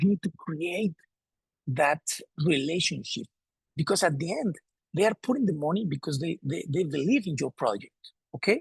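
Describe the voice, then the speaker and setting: With a Spanish accent, a man with a fairly high voice speaks with lively intonation and long, frequent pauses, the sound dry and close with no echo. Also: moderate pace. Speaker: sports federation president. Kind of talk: presentation. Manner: halting, repeats words.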